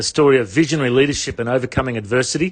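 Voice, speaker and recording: A man talks at a very fast pace with an Australian accent. His pitch is fairly high, with ordinary pitch variation. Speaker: radio interviewer. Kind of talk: radio interview.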